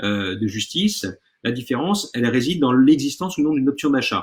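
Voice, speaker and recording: The delivery moves at a fairly quick pace with lively intonation. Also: man. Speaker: law lecturer. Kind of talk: online lecture. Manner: fast.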